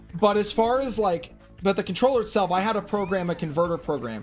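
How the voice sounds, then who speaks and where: Spoken at a very fast pace with an American accent, the clip carries noticeable background noise. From New Jersey. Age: 20s. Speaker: gaming streamer. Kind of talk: casual live-stream chat. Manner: clearly articulated.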